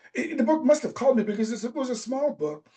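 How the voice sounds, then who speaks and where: A dark, mellow tone carries through. It belongs to a man. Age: 70s. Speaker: author and personal growth speaker. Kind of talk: interview. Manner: halting.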